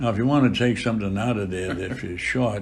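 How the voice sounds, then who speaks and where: A man with an American accent speaks at a fairly low pitch, with audible echo in the room. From Boston area, US. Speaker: priest. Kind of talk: interview. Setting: chapel.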